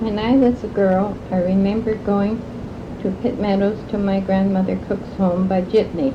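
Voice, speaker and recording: Fairly even intonation from a woman at a moderate pace, with noticeable background noise. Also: medium pitch for a woman. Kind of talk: oral history interview recollection. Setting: recorded interview.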